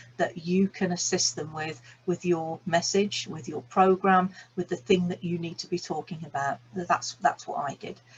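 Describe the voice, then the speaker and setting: A woman speaks at a moderate pace with a medium pitch and ordinary pitch variation. Her voice is somewhat breathy. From England, Birmingham. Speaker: business coach and energy healer. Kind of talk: online masterclass talk. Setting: video call recording.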